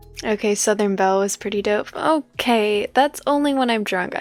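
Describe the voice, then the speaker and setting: A quiet, soothing woman's voice at a fairly high pitch and fairly quick pace, ordinary pitch variation, music in the background. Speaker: streamer reading a story aloud. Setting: live stream. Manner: quiet and soothing.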